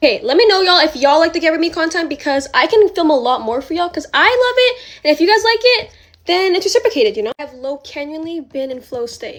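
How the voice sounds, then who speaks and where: At a very fast pace, a woman speaks in an extremely high pitch with very wide pitch swings. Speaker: influencer. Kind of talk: get-ready-with-me vlog. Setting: at home filming herself. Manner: stutters; casual, filler-heavy.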